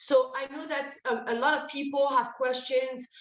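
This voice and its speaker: A woman at a moderate pace with a French accent, over noticeable background noise. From France. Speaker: energy services presenter. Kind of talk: webinar presentation. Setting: online event call. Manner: halting, many fillers.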